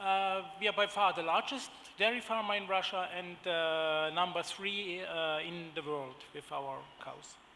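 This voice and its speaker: Speaking at a fairly slow pace, a man uses a high pitch and a bright, sharp tone with ordinary pitch variation, and audible room echo is present. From Germany. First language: German. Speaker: agribusiness executive. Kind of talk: conference panel presentation. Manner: halting, many fillers.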